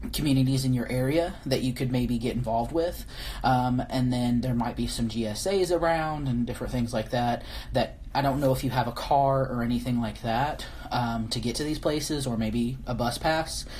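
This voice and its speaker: Audible room echo surrounds a woman with a very deep, low pitch, a dark, mellow tone and vocal fry, who speaks at a moderate pace with ordinary pitch variation. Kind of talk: live-stream viewer Q&A. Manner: halting, many fillers and restarts.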